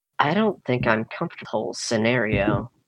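Soft-spoken and at a medium pitch, a man performs a put-on character voice. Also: moderate pace.

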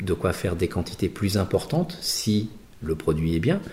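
Speaking at a fairly quick pace, a man with a fairly low pitch has a dark, mellow tone that is somewhat breathy. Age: 50s. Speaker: designer and entrepreneur. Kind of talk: interview. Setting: artist's studio. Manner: halting.

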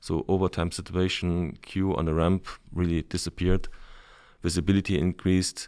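In a German accent, a man speaks at a moderate pace with a very deep, low pitch and monotone, flat intonation. The recording is very clean, with a silent background. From Germany. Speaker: logistics manager. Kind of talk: interview.

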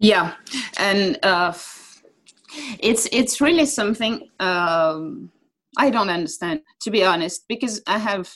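A woman in a French accent speaks at a medium pitch and a fairly slow pace, with long, frequent pauses. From France. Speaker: football TV presenter. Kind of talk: interview.

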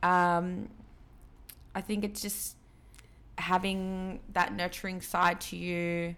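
At a very slow pace, a woman speaks. She has an Australian accent. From Sydney, Australia (born in Peru, moved as infant). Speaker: DJ. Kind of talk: casual chat.

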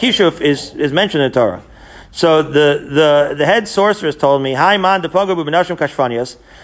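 The man's pitch sits fairly high, with ordinary variation. He speaks at a fairly quick pace. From Israel. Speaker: Talmud teacher. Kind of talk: Talmud lecture. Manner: animated.

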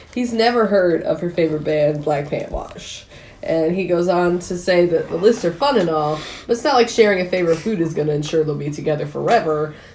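Speaking at a fairly quick pace, a woman has a fairly low voice and ordinary pitch variation. There is audible room echo. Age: 30s. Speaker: podcast co-host. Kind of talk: casual chat. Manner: laughs often.

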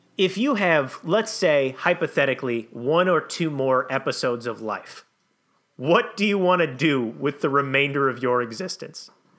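With an American accent and a plain, everyday voice, a man talks at a moderate pace, his fairly high pitch carried by lively intonation. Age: 30s. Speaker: comedy podcast co-host. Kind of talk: improvised comedy podcast.

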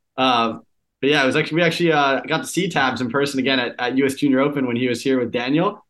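Speaking at a very fast pace, a man uses a medium pitch and fairly even intonation. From US Northeast, Boston area. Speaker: professional squash player. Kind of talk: casual interview.

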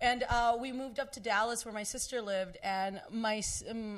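A woman with a Spanish accent at a moderate pace, with ordinary pitch variation, on a very clean recording with a silent background. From Texas. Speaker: comedian. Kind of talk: casual chat.

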